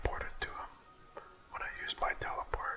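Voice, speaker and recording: Whispering over noticeable background noise. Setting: studio. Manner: whispered, soft-spoken.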